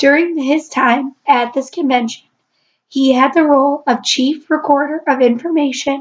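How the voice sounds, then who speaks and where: A woman speaks at a moderate pace with a high pitch. Her loudness stays very even. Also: fairly even intonation. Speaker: student. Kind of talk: class presentation. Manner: halting.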